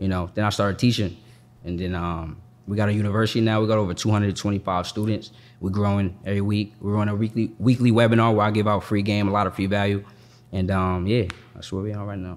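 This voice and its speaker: At a very fast pace, a man with an American accent talks in a fairly low voice with monotone, flat intonation. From Boston, Massachusetts. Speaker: credit and business funding coach. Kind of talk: casual interview.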